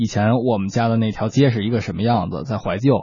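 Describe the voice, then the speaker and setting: Ordinary pitch variation in a somewhat breathy, medium-pitched male voice. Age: 30s. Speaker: radio co-host, songwriter. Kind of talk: casual chat.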